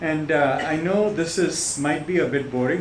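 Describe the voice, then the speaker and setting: There is audible room echo and noticeable background noise. A man talks with fairly even intonation. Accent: American. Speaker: visiting professor. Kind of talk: lecture. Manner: halting.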